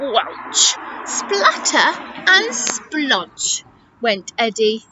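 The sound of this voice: An unforced reading voice carries the whole clip.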